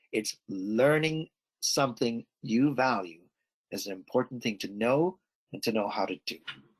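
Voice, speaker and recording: With an animated tone and lively intonation, a man speaks at a medium pitch and a moderate pace. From Canada. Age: 60s. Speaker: emotional intelligence expert, speaker. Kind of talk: Q&A answer in online webinar.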